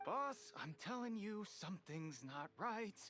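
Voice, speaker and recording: Over background music, a woman does a put-on character voice that is raspy and nervous in tone, at medium pitch with very wide pitch swings and a fairly slow pace. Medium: video game. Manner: nervous, stammering.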